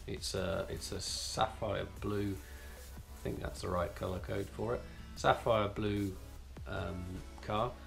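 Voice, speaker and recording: A man with a fairly low pitch at a very slow pace, clear music in the background. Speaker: car channel host. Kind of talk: casual vlog chat. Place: home room. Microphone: camera far.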